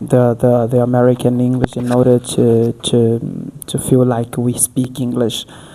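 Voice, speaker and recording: Noticeable background noise runs through the clip. The pace of speech is fairly slow. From Africa. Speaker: podcast host. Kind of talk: interview. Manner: halting.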